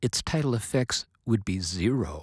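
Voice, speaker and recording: Somewhat breathy and dark, mellow in tone, a man speaks at a fairly slow pace in a very clean, silent recording with a dry, close sound and no echo. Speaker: science educator. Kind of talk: lecture.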